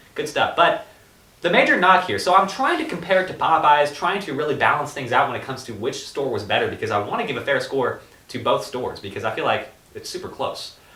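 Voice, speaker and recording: Noticeable background noise is present. Over it, a man speaks at a very fast pace. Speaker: podcast co-host. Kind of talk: casual chat.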